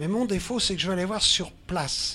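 His tone is bright and sharp, pitched high for a man. He speaks at a moderate pace. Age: 80s+. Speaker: lifelong hitchhiking traveler. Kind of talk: interview. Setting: studio on a festival barge.

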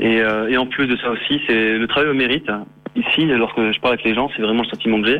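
Over noticeable background noise, a man talks at a fairly quick pace with a medium pitch, very even loudness and fairly even intonation. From France. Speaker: working holiday traveller. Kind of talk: phone interview.

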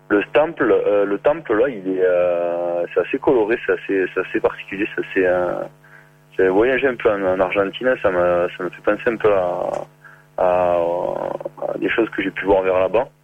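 A man speaks with a southern French accent at a fairly slow pace, leaving long, frequent pauses. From southern France, near Béziers. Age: 30s. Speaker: working holiday traveller. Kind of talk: phone interview. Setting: phone call. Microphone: far from the phone.

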